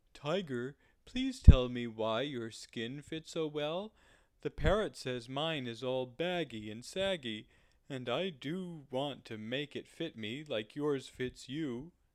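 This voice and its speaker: Putting on a character voice, a man speaks fairly slowly at a medium pitch. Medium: read story.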